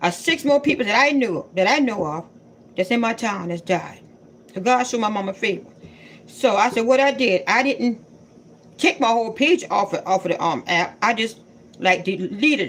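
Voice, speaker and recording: The woman's intonation is lively. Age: 60s. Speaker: content creator.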